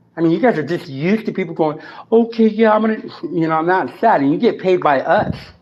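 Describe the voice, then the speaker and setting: A man talks loudly at a very fast pace in a high pitch. His tone is animated, with ordinary pitch variation. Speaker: citizen activist. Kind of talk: confrontational argument.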